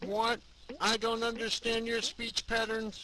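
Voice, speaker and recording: In a put-on character voice, a man speaks at an extremely high pitch with flat, monotone intonation and a fairly slow pace. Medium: machinima. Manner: stiff, formal.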